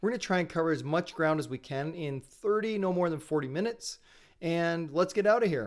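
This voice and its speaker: Loud and at a fairly quick pace, a man with a Canadian accent speaks at a high pitch with ordinary pitch variation. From Canada. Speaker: sales and marketing trainer. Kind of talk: live webinar presentation. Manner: fast.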